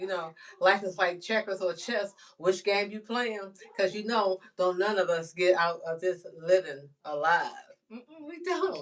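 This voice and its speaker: A woman's medium-pitched voice at a fairly slow pace, with ordinary pitch variation and big swings in loudness. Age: 60s. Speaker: livestreamer. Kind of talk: casual livestream monologue. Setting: live stream. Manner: animated.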